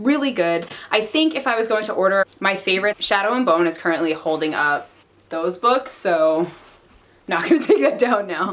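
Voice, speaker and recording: Her tone animated, a woman speaks at medium pitch with very wide pitch swings. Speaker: book reviewer. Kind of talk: casual chat. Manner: fast when excited.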